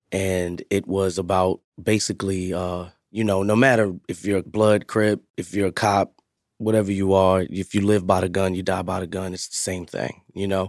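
Very deep and low in pitch, a man with an American accent talks at a moderate pace in a monotone, flat intonation, his dry, close sound carrying no echo on a very clean recording with a silent background. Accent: New York, slight, with some Southern words. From Bronx, New York. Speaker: community nonprofit founder and youth worker. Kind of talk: casual interview.

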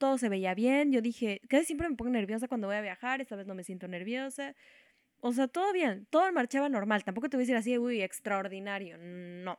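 A woman talks at a fairly quick pace with a Mexican accent. Her pitch is fairly high. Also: lively intonation, dry, close sound with no echo. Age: 20s. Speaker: podcast co-host. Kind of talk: casual chat.

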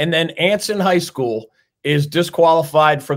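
A man's moderate-paced delivery in an unremarkable speaking voice, with ordinary pitch variation. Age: 50s. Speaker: sports talk show host. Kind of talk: interview.

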